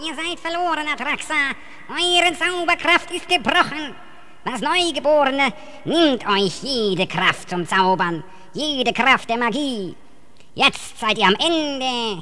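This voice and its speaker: A female-sounding voice takes on a put-on character voice, pitched high. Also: fairly slow pace. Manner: warm, calls others friends.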